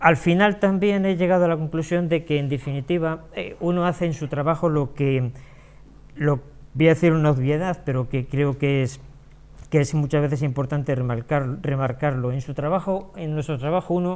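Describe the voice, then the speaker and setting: A man's voice, pitched fairly high, moves at a medium pace with pitch that varies in an ordinary way. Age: 60s. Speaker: small business owner. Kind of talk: talk to an audience. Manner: halting, many fillers and repetitions.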